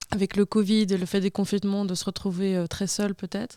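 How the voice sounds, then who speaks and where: Dry and close with no echo, a woman's voice sits at a medium pitch with a dark, mellow tone and monotone, flat intonation. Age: 20s. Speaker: abuse survivant. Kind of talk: personal testimony. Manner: halting.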